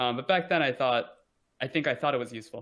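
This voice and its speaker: Very fast speech with an American accent against a quiet background. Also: man. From United States. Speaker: podcast guest. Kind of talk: casual interview chat. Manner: halting, with frequent fillers and restarts.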